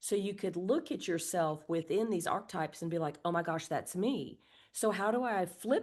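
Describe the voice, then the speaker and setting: Her voice is an unremarkable speaking voice, fairly low in pitch, as this woman moves at a moderate pace with lively intonation and hardly any pauses against a quiet background. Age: 60s. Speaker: birth community co-founder. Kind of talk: podcast interview.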